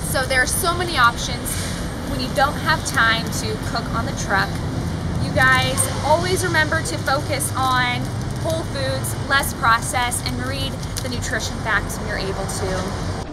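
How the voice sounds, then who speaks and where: A woman speaks at a fairly slow pace while loud background noise is heard. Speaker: presenter. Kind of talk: tutorial. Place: street. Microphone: lapel.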